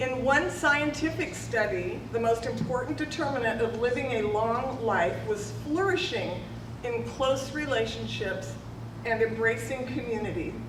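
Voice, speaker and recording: A woman with a Californian accent speaks at a fairly slow pace. The recording has audible room echo and noticeable background noise. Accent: Californian American. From California, Modesto area. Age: 60s. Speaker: mayor. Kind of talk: public speech. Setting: ribbon cutting event with audience.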